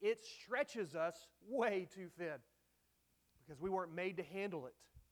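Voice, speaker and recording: The speaker has a Texan accent and keeps a moderate pace. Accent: Texan Southern American. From North Texas (Dallas area). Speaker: pastor. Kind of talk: sermon. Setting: church.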